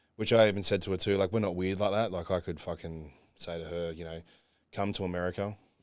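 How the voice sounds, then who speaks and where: A man with a very deep, low voice, very fast delivery and fairly even intonation. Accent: Australian. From Australia. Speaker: bodybuilder. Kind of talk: casual chat. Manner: casual, swearing, filler-heavy.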